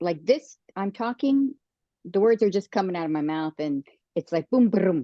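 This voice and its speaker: A woman at a moderate pace. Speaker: podcast co-host and channeler. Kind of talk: casual chat. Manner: plain-spoken; halting.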